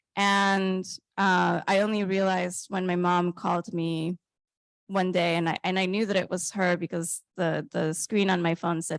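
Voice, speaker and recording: A woman's fairly low voice with a Spanish accent, monotone and flat, at a moderate pace, very even in loudness, dry and close with no echo over a quiet background. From Colombia. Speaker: author. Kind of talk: reading aloud; onstage interview. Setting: stage with audience.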